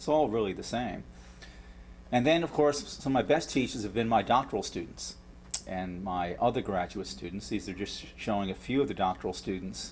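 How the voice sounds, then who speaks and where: With a New York accent and vocal fry, a man speaks at a fairly quick pace and a fairly low pitch, making very wide pitch swings. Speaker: professor. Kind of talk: lecture. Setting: lecture hall with audience. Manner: halting with frequent repetitions.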